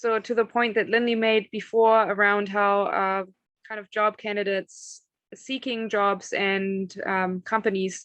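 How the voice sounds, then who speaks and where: With a slight German accent, a woman speaks at a moderate pace in a medium pitch with monotone, flat intonation, against a quiet background. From northern Germany. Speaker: agricultural consultant. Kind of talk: career talk to students.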